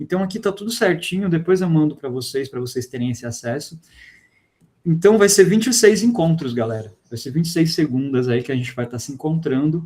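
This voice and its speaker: A man with a dark, mellow tone and a fairly high pitch speaks at a fairly quick pace, his intonation lively and his loudness swinging widely. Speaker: physics teacher. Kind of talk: online class lecture.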